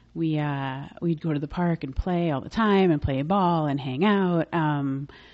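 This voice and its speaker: This woman has an unremarkable speaking voice with an American accent and a fairly low pitch. She talks at a fairly slow pace with fairly even intonation. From New York City (Manhattan, Bronx). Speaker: makeup artist and business owner. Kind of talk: interview conversation.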